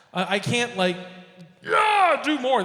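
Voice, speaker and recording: A raised, projected voice with very wide pitch swings, amid audible room echo and noticeable background noise. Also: man. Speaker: poetry slam host. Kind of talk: live emcee banter. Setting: stage with audience in a bar. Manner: halting, self-correcting.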